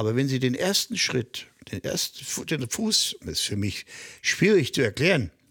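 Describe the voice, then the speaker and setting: On a very clean recording with a silent background, a man at medium pitch speaks at a moderate pace with very wide pitch swings. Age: 60s. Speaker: high-wire artist. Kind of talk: interview. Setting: on location at his home.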